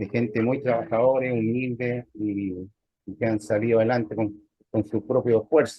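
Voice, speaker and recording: A man at a medium pitch, monotone and flat in intonation, at a moderate pace. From Chile. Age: 60s. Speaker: lay church member, navy veteran. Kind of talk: interview testimony. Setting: video call. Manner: halting, with many fillers.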